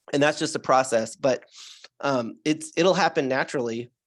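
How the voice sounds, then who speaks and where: Over a very clean recording with a silent background, a man talks at a moderate pace in an ordinary speaking voice. His pitch is fairly high, with ordinary pitch variation. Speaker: alternative health doctor. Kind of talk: interview answer.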